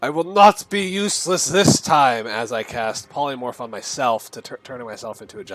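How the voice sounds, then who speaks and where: Shouting loudly in a put-on character voice, a man with a medium pitch keeps a moderate pace. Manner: loud, dramatic, screaming.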